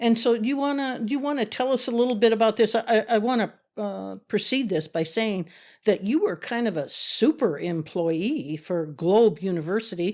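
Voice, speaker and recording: A woman speaks in an unremarkable speaking voice with an American accent, fairly high in pitch and lively in intonation. Her pace is moderate, and the recording is very clean with a silent background. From US Midwest, South Dakota. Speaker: podcast host, whistleblower. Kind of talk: interview. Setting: studio.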